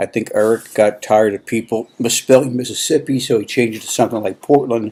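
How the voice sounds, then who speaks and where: Against noticeable background noise, a man speaks at a moderate pace and medium pitch with fairly even intonation. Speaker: fantasy baseball league commissioner. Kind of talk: casual video commentary. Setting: at home. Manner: soft-spoken. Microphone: laptop.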